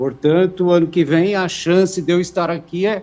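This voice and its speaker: A man speaking at a fairly slow pace. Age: 60s. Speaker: cancer patient and author. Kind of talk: testimony.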